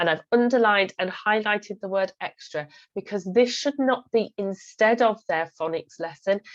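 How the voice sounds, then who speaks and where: With an English accent, the speaker shows ordinary pitch variation and hardly any pauses. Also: woman, medium pitch for a woman, moderate pace, dry, close sound with no echo. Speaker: phonics teacher giving training. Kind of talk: presentation talk over slides. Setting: screen-share recording.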